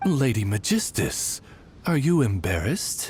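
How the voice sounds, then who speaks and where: In a put-on character voice, the speaker uses a low-to-middle pitch with very wide pitch swings at a moderate pace, with clear background noise behind. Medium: video game. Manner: formal, courteous.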